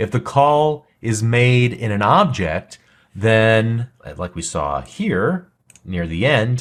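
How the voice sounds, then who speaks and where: A man's medium-pitched voice at a very slow pace, with very wide pitch swings. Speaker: programming instructor. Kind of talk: tutorial. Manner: slow, deliberate.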